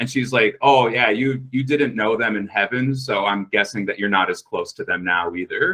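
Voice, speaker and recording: Loud and with hardly any pauses, a man with an American accent talks at a medium pitch in a bright, sharp tone. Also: ordinary pitch variation, moderate pace. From US Midwest, Minnesota. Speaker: podcast guest telling a personal story. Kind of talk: casual storytelling.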